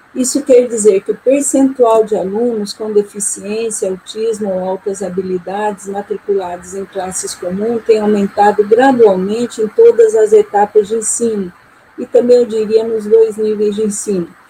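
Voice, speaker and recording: Noticeable background noise sits under a woman's fairly high voice. She talks at a moderate pace with fairly even intonation and hardly any pauses. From Maringá, Paraná, Brazil. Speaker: visiting professor of education. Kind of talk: panel discussion.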